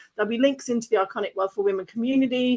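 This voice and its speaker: With an Australian accent, a woman speaks in a fairly high pitch with ordinary pitch variation. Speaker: podcast host and business coach. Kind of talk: casual interview chat. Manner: animated.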